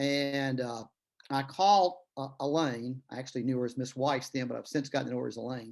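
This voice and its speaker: A man with a Tennessee accent, medium pitch, and fairly even intonation over a quiet background. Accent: Tennessee Southern drawl. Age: old. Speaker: author and retired lawyer. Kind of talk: interview conversation. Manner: storytelling, many fillers.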